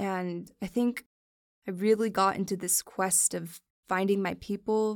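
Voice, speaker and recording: In a very clean recording with a silent background, a woman talks at medium pitch and a moderate pace in a normal speaking voice. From Miami, Florida. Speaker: podcast host. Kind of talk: personal monologue.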